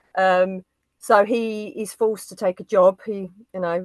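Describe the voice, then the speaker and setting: A woman with an East London accent at a medium pitch, in a dry, close sound with no echo. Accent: Dagenham. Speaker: film YouTuber. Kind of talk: casual chat.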